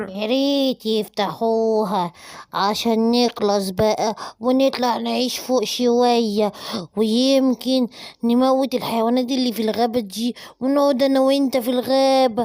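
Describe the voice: A cartoonish character voice, female-sounding, with a fairly high pitch at a fairly slow pace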